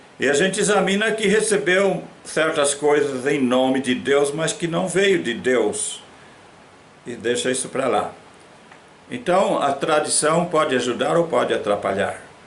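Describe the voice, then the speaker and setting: In a room with audible echo, a man speaks at a fairly slow pace. His fairly high voice carries lively intonation. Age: 80s+. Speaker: pastor. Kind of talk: sermon.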